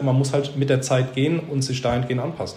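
A man speaks at a fairly high pitch. Room echo is audible. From Baden-Württemberg, near Heidelberg. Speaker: junior manager of a carpentry business. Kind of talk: interview.

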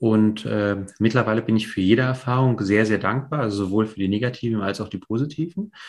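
Against a quiet background, a man with a fairly low voice talks at a fairly quick pace with hardly any pauses and fairly even intonation. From East Germany (GDR), Polish family, later West Berlin. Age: 40s. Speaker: real estate investor. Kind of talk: interview, life story. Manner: hesitant, many fillers.

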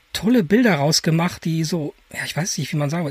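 This man's voice is high-pitched, with ordinary pitch variation. He keeps a moderate pace, and the sound is dry and close with no echo. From Germany, edge of the Ruhr area. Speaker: podcast co-host, photographer. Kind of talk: casual chat.

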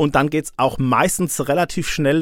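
The recording is very clean, the background silent. A man speaks at a fairly high pitch in a monotone, flat intonation. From Odenwald, southern Hesse. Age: 50s. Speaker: police press spokesman. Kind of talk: interview.

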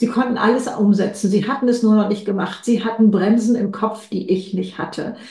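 With audible room echo, a woman speaks at a moderate pace, her fairly high voice somewhat breathy and dark, mellow in tone. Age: 70s. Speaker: author and keynote speaker. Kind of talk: interview. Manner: energetic.

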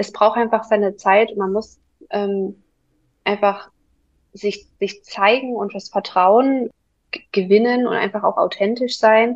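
A woman's fairly high voice at a very slow pace, with fairly even intonation and long, frequent pauses. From Saxony, near Dresden. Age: 20s. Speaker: virtual assistant. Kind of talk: interview.

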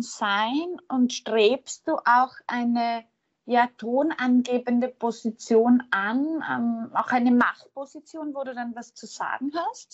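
A woman's high-pitched voice at a very slow pace, with big swings in loudness, fairly even intonation and hardly any pauses. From Austria. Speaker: podcast host. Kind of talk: interview conversation.

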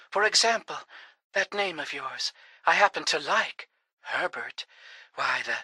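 Speech comes at a fairly slow pace with long, frequent pauses. The background is quiet. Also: woman. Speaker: voice actor. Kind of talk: dramatic narration, comic radio-serial adventure parody. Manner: bold, sassy, action-hero tone.

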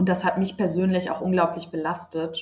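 Somewhat breathy and fairly low in pitch, a woman speaks with fairly even intonation. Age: 20s. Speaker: nurse. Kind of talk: interview.

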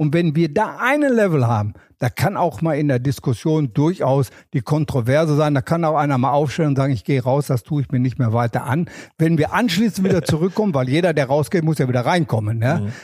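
Somewhat breathy and fairly high in pitch, the man keeps a very even loudness while his intonation stays lively. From Ruhr area, Germany (Wanne-Eickel). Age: 70s. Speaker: former tennis tournament press officer. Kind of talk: casual interview.

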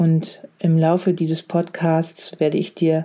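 A woman speaks at a fairly slow pace. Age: 40s. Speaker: leadership coach. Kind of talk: solo podcast monologue.

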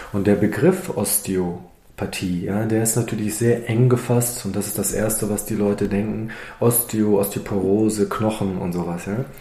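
With audible room echo and noticeable background noise, a man talks with fairly even intonation and hardly any pauses. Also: fairly low pitch for a man, moderate pace. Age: 50s. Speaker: osteopath and naturopath. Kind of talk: interview. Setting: in his practice.

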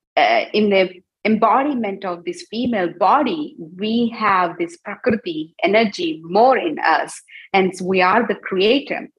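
Woman at a medium pitch, somewhat breathy, very wide pitch swings, fairly slow pace. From India. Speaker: Ayurvedic doctor. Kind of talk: interview. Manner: hesitant, many fillers.

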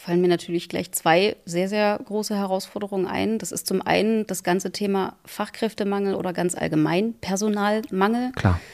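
Using a normal speaking voice at medium pitch, a woman talks at a moderate pace with fairly even intonation and hardly any pauses. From Saxony-Anhalt, Harz region. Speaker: railway company managing director. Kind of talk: interview. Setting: town hall.

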